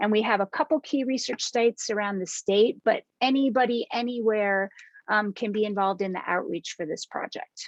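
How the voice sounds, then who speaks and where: This woman has a plain, everyday voice with fairly high pitch and ordinary pitch variation, at a moderate pace. The sound is dry and close with no echo, over a quiet background. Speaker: science outreach educator. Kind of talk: presentation to teachers.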